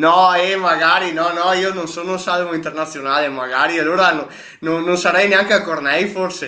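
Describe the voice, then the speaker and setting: Noticeable background noise and audible room echo surround a man speaking at a moderate pace. His pitch is high and his intonation fairly even. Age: 20s. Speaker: mountain runner. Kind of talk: casual chat.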